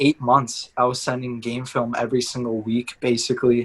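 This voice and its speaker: This man speaks with a Canadian accent. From Canada (Toronto area), born in Madrid. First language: Spanish. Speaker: university soccer player. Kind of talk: interview.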